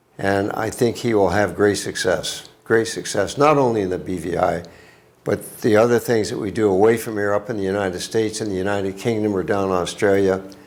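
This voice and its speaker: A voice moving at a fairly quick pace with fairly even intonation, heard against audible room echo. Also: man, fairly low pitch for a man. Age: 80s+. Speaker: business founder. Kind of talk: interview. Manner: halting.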